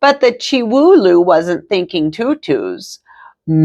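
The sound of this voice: Against a quiet background, the text is read in an unforced reading voice.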